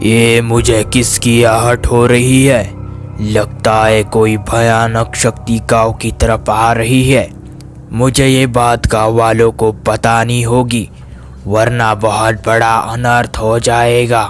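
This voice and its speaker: Over clear background music, a cartoonish character voice speaks very slowly in a monotone, flat delivery. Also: man, medium pitch for a man. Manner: commanding, forceful.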